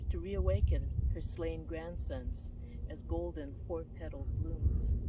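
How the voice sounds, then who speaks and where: The voice moves at a very slow pace with ordinary pitch variation, with audible room echo and noticeable background noise. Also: woman. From Hawaii, Kaneohe. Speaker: poet. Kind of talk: poetry reading.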